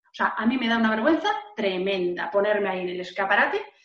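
Over audible room echo, a woman talks at a fairly quick pace with very wide pitch swings. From Valencia, Spain. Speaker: entrepreneur and author. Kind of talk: interview. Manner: expressive, gesturing.

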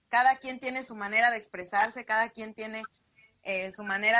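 Her voice is fairly high with a bright, sharp tone, and the woman keeps a moderate pace with fairly even intonation. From Mexico, Sierra Norte de Puebla. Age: 30s. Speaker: entrepreneur. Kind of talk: interview.

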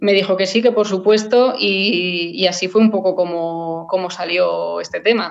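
A plain, everyday voice from a woman at medium pitch, fairly slow in pace with hardly any pauses and fairly even intonation. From Spain, Madrid area (Rivas). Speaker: classical guitarist. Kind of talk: casual interview.

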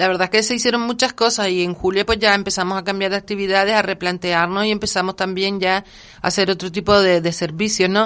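A woman's medium-pitched voice at a very fast pace, monotone and flat in intonation, with very even loudness throughout. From Gran Canaria. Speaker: cultural association coordinator. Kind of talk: interview.

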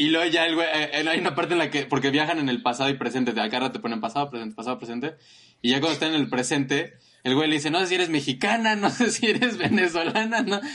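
A man's fairly high voice has a bright, sharp tone. He speaks very fast with lively intonation. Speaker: podcast co-host. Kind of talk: casual chat.

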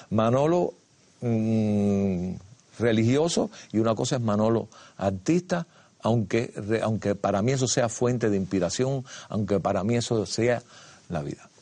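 Against a quiet background, a man with a dark, mellow tone talks at medium pitch and a fairly slow pace, using ordinary pitch variation and long, frequent pauses. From Cuba. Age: 70s. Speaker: dancer and choreographer. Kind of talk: casual chat. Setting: studio.

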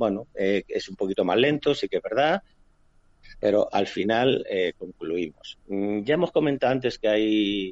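Here a man talks at a fairly slow pace. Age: 50s. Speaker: police cybercrime investigator. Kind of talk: interview. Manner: halting, many fillers.

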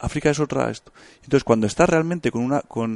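Against a quiet background, a man speaks with ordinary pitch variation, the sound dry and close with no echo. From Spain, Bilbao (Basque Country). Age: 30s. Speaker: hunter and engineer. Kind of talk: casual interview.

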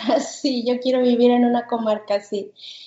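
A woman's high-pitched voice. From Mexico, Guadalajara. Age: 40s. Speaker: podcast co-host, homeschooling mother. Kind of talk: casual chat.

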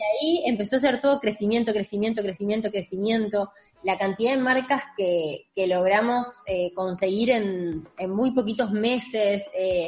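A woman with a Rioplatense accent, fairly high in pitch and fairly slow in pace, amid noticeable background noise. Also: ordinary pitch variation, hardly any pauses. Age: 20s. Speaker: digital marketing agency owner. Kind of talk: interview.

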